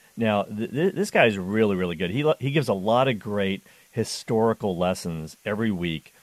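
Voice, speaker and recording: At a moderate pace, a man with a plain, everyday voice speaks at a fairly low pitch with lively intonation against a quiet background. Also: dry, close sound with no echo. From Canada. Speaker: radio host. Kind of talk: call-in radio show. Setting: studio. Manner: upbeat, jovial.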